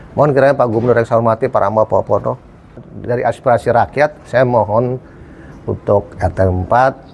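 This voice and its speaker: In a normal speaking voice, a man speaks at a fairly quick pace with medium pitch, fairly even intonation and very even loudness. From Jakarta. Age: 60s. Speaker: local resident. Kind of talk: street interview.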